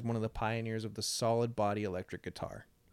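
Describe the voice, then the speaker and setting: A man on a very clean recording, silent background. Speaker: podcast host. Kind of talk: casual chat. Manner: natural tone, not read-sounding.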